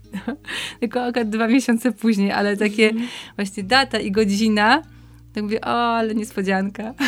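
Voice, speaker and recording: This woman's intonation is monotone and flat, with a fairly high pitch. Her pace is fairly quick. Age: 40s. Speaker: podcast guest reading papal texts. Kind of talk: casual chat.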